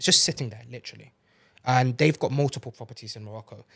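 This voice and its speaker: A very fast, somewhat breathy man in a British accent, with ordinary pitch variation, on a very clean recording with a silent background. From UK. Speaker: entrepreneur. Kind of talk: podcast interview.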